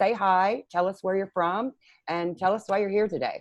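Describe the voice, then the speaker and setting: A woman talks at a medium pitch over a quiet background. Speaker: co-working space host. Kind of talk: online workshop hosting. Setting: video call.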